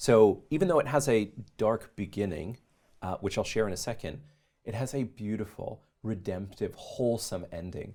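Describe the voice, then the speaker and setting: A man with a Canadian accent speaks at a moderate pace in a medium pitch, with ordinary pitch variation and a dark, mellow tone. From Canada, Calgary. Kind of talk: interview testimony.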